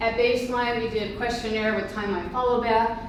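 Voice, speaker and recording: With noticeable background noise and audible room echo, a woman speaks in a fairly high pitch with monotone, flat intonation. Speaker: epidemiologist and researcher. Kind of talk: conference talk. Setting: conference presentation. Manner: fast.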